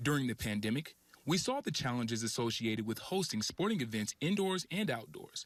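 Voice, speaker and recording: Energetic and fairly quick, a man at medium pitch makes very wide pitch swings while his loudness stays very even. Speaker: sports reporter and anchor. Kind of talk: TV sports news anchor read. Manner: polished, energetic, clear.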